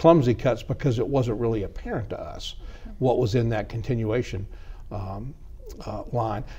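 A man's somewhat breathy voice with a Georgia accent. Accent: Southern American (Georgia). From DeKalb County, Georgia. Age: 50s. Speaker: politician. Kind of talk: interview. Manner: halting, many fillers and repetitions. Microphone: lapel.

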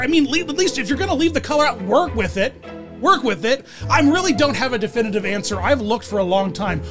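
Clear music plays in the background. Over it, a man is speaking. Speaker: video host. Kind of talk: casual vlog commentary. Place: home room. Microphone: studio mic.

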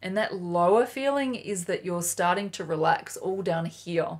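A woman with an Australian accent, lively intonation and a fairly slow pace, over a quiet background. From Australia, Sydney. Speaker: flute teacher. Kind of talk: tutorial. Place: home room.

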